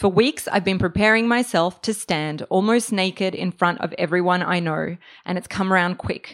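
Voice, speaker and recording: Speaking in an Australian accent, a woman talks at a moderate pace with a medium pitch and ordinary pitch variation. The recording is very clean, with a silent background. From Australia (Melbourne), born in Serbia. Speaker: writer. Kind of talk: reading aloud. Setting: stage with audience.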